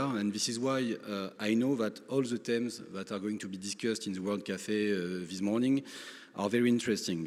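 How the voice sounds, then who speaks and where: A man with a French accent speaks at a moderate pace and fairly low pitch. His intonation stays fairly even. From France. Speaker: lawyer, conference speaker. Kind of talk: conference speech. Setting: conference stage with audience. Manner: halting, many fillers.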